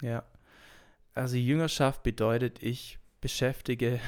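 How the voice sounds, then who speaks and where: Fairly slow speech with fairly even intonation in a very clean recording with a silent background. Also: man. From Swabia, Germany (Urbach). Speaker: pastoral assistant and teacher. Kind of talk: casual interview chat.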